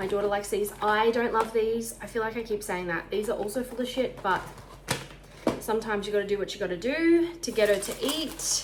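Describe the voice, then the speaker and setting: Noticeable background noise accompanies a woman speaking with an Australian accent in a fairly high pitch. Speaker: lifestyle vlogger. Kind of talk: casual vlog talk. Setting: at home.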